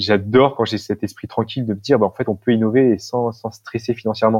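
At a moderate pace, a man speaks in a medium pitch with monotone, flat intonation, the sound dry and close with no echo. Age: 30s. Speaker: social entrepreneur. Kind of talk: casual interview. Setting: remote call.

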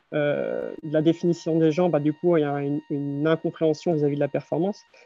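A man at a fairly quick pace, fairly high in pitch with monotone, flat intonation, over music in the background. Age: 30s. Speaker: mental coach and runner. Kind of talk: casual interview.

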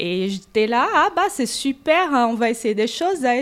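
Speaking with a Portuguese accent, a woman with a high-pitched voice goes at a very slow pace. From Brazil. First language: Portuguese (speaking French). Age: 40s. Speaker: gym member, receptionist. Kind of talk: casual interview.

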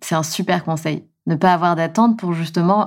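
Her voice is a plain, everyday voice, fairly low in pitch for a woman. She speaks at a fairly slow pace with fairly even intonation. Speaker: podcast host. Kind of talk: casual interview.

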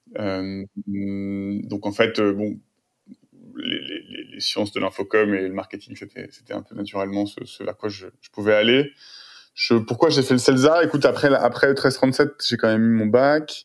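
A man with a medium-pitched voice speaks at a fairly slow pace, using ordinary pitch variation while his loudness swings widely. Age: 30s. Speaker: tech entrepreneur. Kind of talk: interview. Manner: hesitant, many fillers and repetitions.

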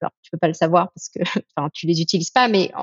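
The voice moves at a moderate pace with ordinary pitch variation. The sound is dry and close with no echo, over a quiet background. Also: woman. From France. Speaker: entrepreneur, former business lawyer. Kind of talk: interview. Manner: animated, hesitant.

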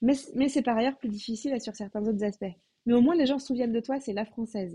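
This woman has a fairly high pitch and a dark, mellow tone. She talks at a very fast pace with ordinary pitch variation. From France. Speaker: comedian. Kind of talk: casual interview.

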